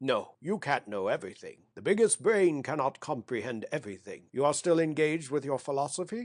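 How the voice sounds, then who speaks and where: A put-on character voice runs at a fairly quick pace. There are hardly any pauses. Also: man, fairly high pitch for a man. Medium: read story. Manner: hurried, anxious.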